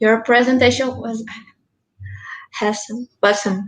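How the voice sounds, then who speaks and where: A high-pitched woman's voice with a Brazilian Portuguese accent. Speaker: student event moderator. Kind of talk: casual chat. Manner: halting.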